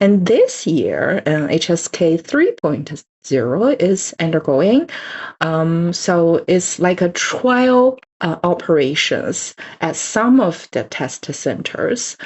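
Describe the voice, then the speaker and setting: In a Chinese accent, a woman with a fairly low pitch talks at a very slow pace, her voice making very wide pitch swings. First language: Mandarin Chinese. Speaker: Chinese language teacher. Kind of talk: lecture. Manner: halting, many fillers.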